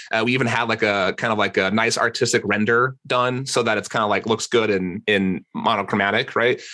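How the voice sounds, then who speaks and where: With very even loudness, a man with an American accent talks at a medium pitch in a bright, sharp tone. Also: hardly any pauses. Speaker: e-commerce entrepreneur. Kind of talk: podcast interview. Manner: fast; animated.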